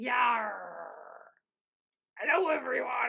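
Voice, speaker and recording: A man puts on a character voice. It sits at an extremely high pitch. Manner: exaggerated, growly.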